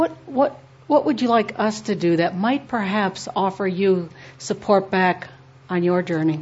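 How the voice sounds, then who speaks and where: A somewhat breathy woman's voice at medium pitch, fairly slow, with lively intonation. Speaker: workshop organizer or teacher.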